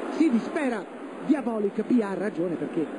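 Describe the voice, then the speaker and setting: Pitched high, a man speaks over noticeable background noise. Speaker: football commentator. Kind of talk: live sports match commentary. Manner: fast, excited.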